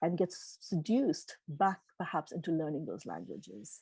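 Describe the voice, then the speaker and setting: With a dark, mellow tone and fairly low pitch, a woman speaks in a dry, close sound with no echo against a quiet background. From Tanzania. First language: Gujarati. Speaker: keynote speaker. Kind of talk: Q&A answers at a virtual meeting.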